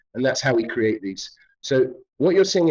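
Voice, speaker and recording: A man with a British accent. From London, England. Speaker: artist and filmmaker. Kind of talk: interview. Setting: virtual reality studio. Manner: hesitant, many fillers.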